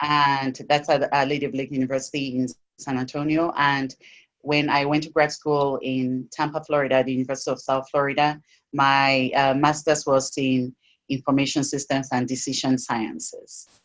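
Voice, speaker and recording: In an African accent, a woman with a very deep, low pitch speaks at a moderate pace with monotone, flat intonation. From sub-Saharan Africa. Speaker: technology educator and advocate. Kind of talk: interview. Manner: halting, many restarts.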